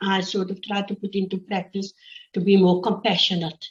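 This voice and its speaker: A woman speaks at a fairly slow pace. Her voice is somewhat breathy, her pitch medium. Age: 60s. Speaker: teacher. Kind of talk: interview. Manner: halting.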